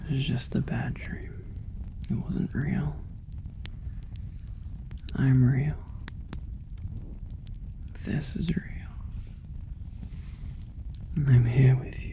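A soft-spoken voice moves at a very slow pace with a soothing tone and long, frequent pauses. Light background noise can be heard. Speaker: ASMR roleplay voice actor. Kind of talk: intimate ASMR roleplay, soft comforting talk. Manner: soft soothing ASMR murmur.

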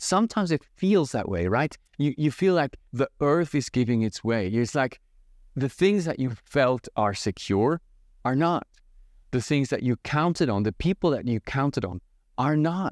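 A man's dry, echo-free voice with very wide pitch swings over a quiet background. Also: moderate pace. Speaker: church pastor. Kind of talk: devotional teaching talk. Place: home room. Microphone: phone near.

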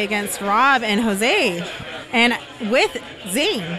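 An enthusiastic woman, fairly high in pitch, with a dry sound with no echo and noticeable background noise. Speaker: pickleball pro. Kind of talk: casual chat. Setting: outdoors.

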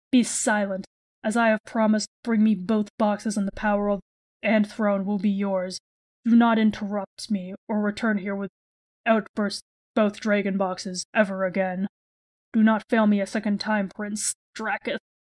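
This put-on character voice moves at a moderate pace with monotone, flat intonation. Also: female-sounding voice, medium pitch for a woman. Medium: game stream. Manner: cold, commanding, menacing.

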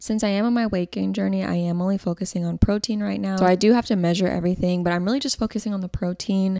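A woman speaks fast at a medium pitch, her intonation fairly even. Her tone is dark and mellow, with vocal fry.

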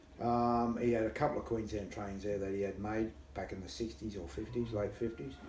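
Audible room echo and light background noise accompany a man speaking at a moderate pace. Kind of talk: interview answer. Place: home room. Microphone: camera far.

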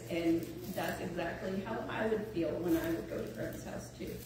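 Amid strong room echo and noticeable background noise, a woman speaks in a fairly low pitch. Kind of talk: eulogy speech. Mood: warm, fond, lightly humorous. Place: church. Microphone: camera far.

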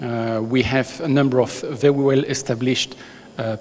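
Ordinary pitch variation marks a man speaking at a fairly slow pace. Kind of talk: conference introduction speech. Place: hall. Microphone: handheld.

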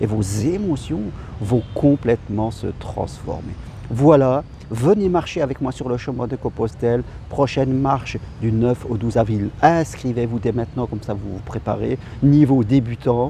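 The delivery is fairly slow, with ordinary pitch variation. The sound is dry with no echo, over light background noise. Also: man. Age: 50s. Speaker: life coach. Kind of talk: motivational talk. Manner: hesitant. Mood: calm, encouraging. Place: garden. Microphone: phone near.

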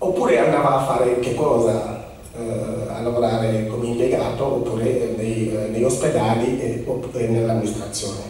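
A man at medium pitch, fairly even in intonation and moderate in pace, with strong room echo and light background noise. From Senegal. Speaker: immigration office representative speaking about Senegal. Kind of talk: public talk to an audience. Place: hall.

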